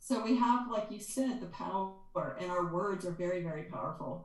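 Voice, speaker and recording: A woman talks at a moderate pace. Audible room echo is present. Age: 60s. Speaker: energy healer and author. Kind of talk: interview conversation. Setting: podcast.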